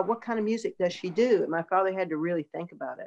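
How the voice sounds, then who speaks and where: A woman with a Southern US accent, medium pitch and ordinary pitch variation. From US South, North Carolina (Durham). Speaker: singer-songwriter and producer. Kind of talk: interview conversation.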